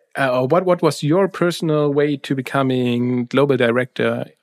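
With a German accent, a man speaks at a moderate pace and medium pitch, with ordinary pitch variation, hardly any pauses, and a dry, close sound with no echo. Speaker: podcast host. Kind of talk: interview.

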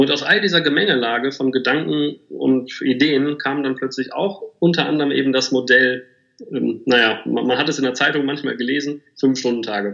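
Speaking at a moderate pace, the man has a plain, everyday voice with a medium pitch and ordinary pitch variation. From Germany, Bielefeld. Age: 30s. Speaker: agency managing director. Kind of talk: interview.

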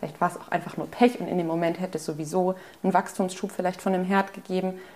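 A woman talks very fast at a medium pitch. Noticeable background noise runs under her voice. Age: 20s. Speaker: student. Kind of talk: personal interview.

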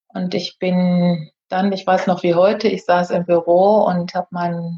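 A woman speaks in a dark, mellow tone with a somewhat breathy quality. Her intonation stays monotone and flat. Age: 50s. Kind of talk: casual interview.

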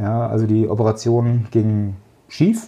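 A man at a fairly slow pace. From central Hesse, Germany. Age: 40s. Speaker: logistics manager. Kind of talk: interview.

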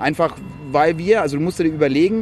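A man with a slight Franconian accent at a fairly quick pace, over noticeable background noise. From Franconia, Germany (village near Ansbach). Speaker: social entrepreneurship network founder. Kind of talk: casual chat. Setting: outdoors on a rooftop terrace.

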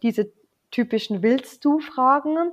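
A woman with a Bavarian accent speaks at a fairly slow pace, using ordinary pitch variation. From Lower Bavaria, Germany. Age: 30s. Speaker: wedding officiant. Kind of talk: casual chat.

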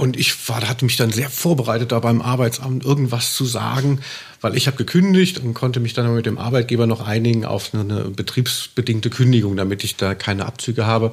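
Very rapid delivery from a man, medium in pitch, the pitch moving in an ordinary way. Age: 40s. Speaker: music journalist and author. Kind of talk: casual chat.

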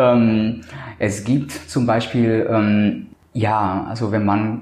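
Both noticeable background noise and audible room echo come through as a man speaks at a fairly low pitch. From Colombia. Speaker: cosmetic surgeon. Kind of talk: interview. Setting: medical practice. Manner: hesitant, many filler sounds.

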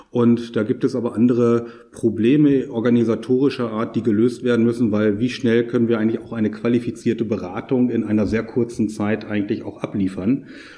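A man talks at a fairly quick pace with hardly any pauses, in a monotone, flat intonation. Noticeable background noise runs underneath. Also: medium pitch for a man. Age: 50s. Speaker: tax advisor and auditor. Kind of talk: interview. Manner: formal.

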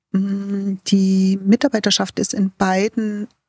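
Her voice is somewhat breathy and of medium pitch for a woman. The sound is dry and close, with no echo. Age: 60s. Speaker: facility management executive. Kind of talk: interview. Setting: remote call.

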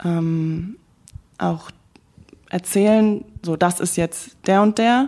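Slowly, with long, frequent pauses, a woman speaks in a dark, mellow tone. Her pitch is fairly low, with ordinary pitch variation. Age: 20s. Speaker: actress, recent drama school graduate. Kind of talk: interview. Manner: halting, many fillers.

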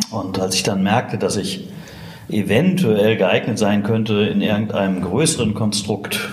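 A man at a fairly low pitch and fairly slow pace, with audible room echo and noticeable background noise. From Ruhr area, Germany (Witten). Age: 50s. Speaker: agency founder and managing director. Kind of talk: interview conversation. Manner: hesitant, many fillers.

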